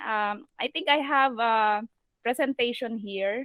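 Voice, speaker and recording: A woman with a Filipino accent speaks at a fairly slow pace. Her pitch is fairly high and her intonation fairly even. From Philippines. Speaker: virtual assistant trainer and online seller. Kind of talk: video call presentation. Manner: halting.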